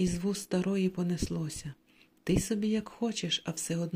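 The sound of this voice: Reading in an unforced voice.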